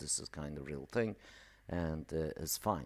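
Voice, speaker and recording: At a moderate pace, a man with a non-native accent speaks in a very deep, low pitch, captured in a very clean recording with a silent background. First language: not English. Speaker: email marketing entrepreneur. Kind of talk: live stream tutorial. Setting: live stream. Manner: casual, filler-heavy.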